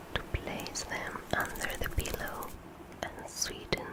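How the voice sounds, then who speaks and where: Someone whispers at a very slow pace over noticeable background noise. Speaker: ASMR artist. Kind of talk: ASMR story reading. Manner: whispered.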